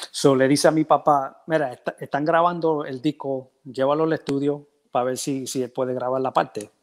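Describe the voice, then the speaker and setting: A man in an ordinary speaking voice, medium in pitch, talking at a fairly slow pace with fairly even intonation over a quiet background. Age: 50s. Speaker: percussionist; interview guest. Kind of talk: casual interview. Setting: video call from home. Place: home room. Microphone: earbuds.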